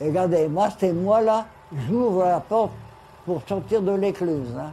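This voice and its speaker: Using a high pitch and ordinary pitch variation, a man speaks at a fairly slow pace. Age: 80s+. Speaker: retired bargeman. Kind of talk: documentary interview, commenting home film.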